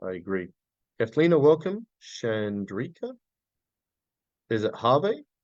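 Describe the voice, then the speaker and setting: A man speaks with an Australian accent. His pitch moves in very wide swings. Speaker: business coach. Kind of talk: live webinar training. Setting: livestream. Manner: fast; intense.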